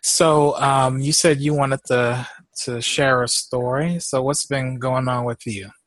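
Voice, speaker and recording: A man talks at a fairly slow pace in a medium pitch. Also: fairly even intonation. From Houston, Texas. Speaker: podcast host. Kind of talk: casual chat.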